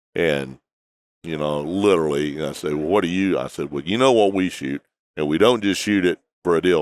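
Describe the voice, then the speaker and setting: With a Texan accent, a man speaks at a fairly quick pace in a very deep, low pitch. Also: ordinary pitch variation. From Texas. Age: 60s. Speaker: hunting outfitter and TV host. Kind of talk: interview. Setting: trade show convention.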